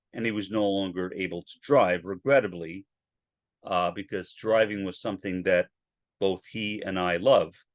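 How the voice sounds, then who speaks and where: In a dry, close recording with no echo and a quiet background, a man with a fairly low pitch speaks at a moderate pace with fairly even intonation. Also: big swings in loudness. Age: 60s. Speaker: podcaster. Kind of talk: solo podcast monologue. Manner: halting, with repetitions and fillers.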